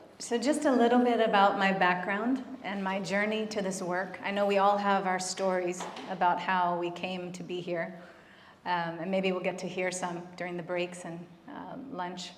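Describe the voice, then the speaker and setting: With audible room echo and noticeable background noise, a woman speaks at a moderate pace and medium pitch. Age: 40s. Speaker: physician and end-of-life doula. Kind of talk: conference talk. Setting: stage with audience. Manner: soft-spoken.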